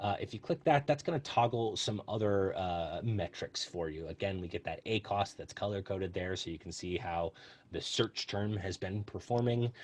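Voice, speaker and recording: A somewhat breathy man with a fairly low pitch, ordinary pitch variation and a moderate pace. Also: quiet background. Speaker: customer success team member presenting software. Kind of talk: software tutorial webinar. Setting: online webinar. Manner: hesitant, many fillers.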